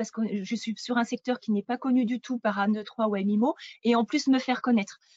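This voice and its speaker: A woman's fairly high voice moves at a moderate pace with fairly even intonation. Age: 40s. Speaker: real estate agent. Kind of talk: interview. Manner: hesitant, many fillers.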